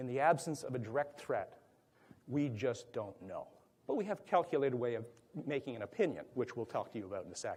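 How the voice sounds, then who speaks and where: A somewhat breathy man's voice at a fairly high pitch, with lively intonation and a very fast pace. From Canada, Toronto. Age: 70s. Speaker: workplace violence prevention speaker. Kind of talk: conference presentation. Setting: conference room with audience.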